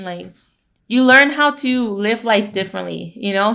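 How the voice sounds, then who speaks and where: This woman has a Spanish accent. The tone of her voice is bright and sharp. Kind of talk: casual Q&A chat. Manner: fast.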